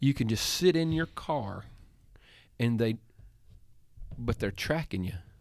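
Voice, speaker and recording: A man with a Southern US accent speaks at a fairly slow pace and a medium pitch, leaving long, frequent pauses. His intonation is lively, on a very clean recording with a silent background. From Tennessee. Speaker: pastor. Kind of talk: casual chat.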